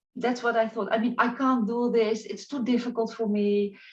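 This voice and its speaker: Speaking at a moderate pace, a woman with a non-native accent uses a high-pitched voice. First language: not English. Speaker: spiritual life coach. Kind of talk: interview. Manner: halting.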